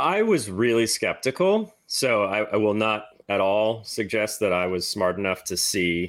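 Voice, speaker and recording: In a very clean recording with a silent background, a man speaks at a fairly slow pace with hardly any pauses, his pitch fairly low and its variation ordinary. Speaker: crypto policy researcher. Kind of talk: interview. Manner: articulate.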